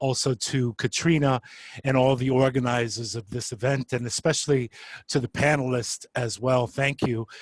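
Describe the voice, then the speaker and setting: The speaker has a New York accent and a moderate pace, with fairly even intonation. The sound is dry and close, with no echo. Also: man. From New York City, Bronx. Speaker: social worker and adjunct professor. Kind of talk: panel introduction.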